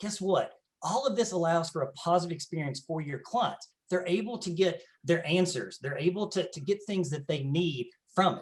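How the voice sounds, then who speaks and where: A man talks in a Southern US accent, pitched high for a man. His pitch varies in an ordinary way. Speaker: tech company presenter. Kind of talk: sales pitch.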